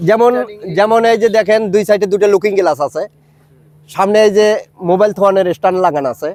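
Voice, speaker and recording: In a high voice, a man talks with ordinary pitch variation. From Bangladesh, Gaibandha district. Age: 50s. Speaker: hobbyist cycle builder. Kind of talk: street interview.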